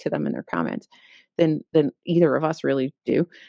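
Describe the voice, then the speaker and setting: Pitch swings very widely as a woman talks at a fairly quick pace, dry and close with no echo, against a quiet background. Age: 40s. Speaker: book podcast co-host. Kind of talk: casual chat. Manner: mumbling; animated.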